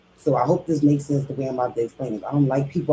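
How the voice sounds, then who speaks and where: A woman speaks in a very deep, low voice that is somewhat breathy, with a Philadelphia accent. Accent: Philadelphia speech. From Philadelphia, US. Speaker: reaction streamer. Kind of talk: casual commentary rant. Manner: animated.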